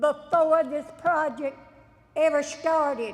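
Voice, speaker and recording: Very slowly, a woman speaks in a high pitch. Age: 70s. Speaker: local resident speaking at public hearing. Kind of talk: public hearing testimony.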